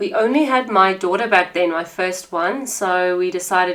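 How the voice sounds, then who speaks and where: A woman with a South African accent talks in medium pitch. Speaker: podcast host. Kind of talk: podcast monologue. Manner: warm, conversational.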